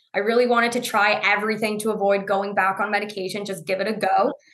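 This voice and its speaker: The speech has fairly even intonation and audible room echo. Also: woman. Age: 20s. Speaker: Crohn's disease patient sharing her story. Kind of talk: interview conversation.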